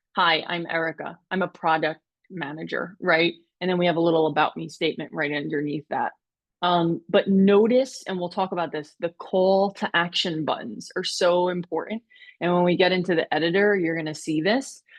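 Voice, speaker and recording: A woman with a fairly low pitch speaks at a moderate pace with ordinary pitch variation. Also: quiet background. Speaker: webinar presenter. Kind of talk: webinar tutorial. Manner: loud; animated. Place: home room.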